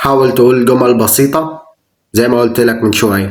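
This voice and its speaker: A man with an Egyptian accent, medium pitch and fairly even intonation at a moderate pace. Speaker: English teacher. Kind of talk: language tutorial talk to camera.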